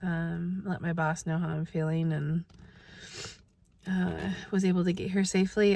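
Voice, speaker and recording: A woman's fairly low, somewhat breathy voice, dark and mellow in tone, with flat, monotone intonation at a moderate pace. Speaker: vlogger. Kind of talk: casual vlog.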